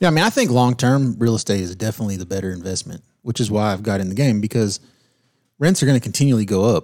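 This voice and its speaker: A man talks at a very fast pace. His fairly low pitch shows ordinary variation. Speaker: podcast co-host. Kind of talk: casual interview chat about investing.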